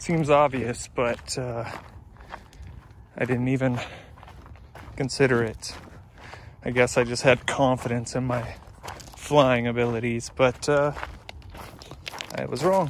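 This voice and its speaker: A man at a fairly slow pace with fairly even intonation and long, frequent pauses, in a dry sound with no echo over light background noise. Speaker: hiking vlogger. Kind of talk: casual vlog chat. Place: open country. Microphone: phone near.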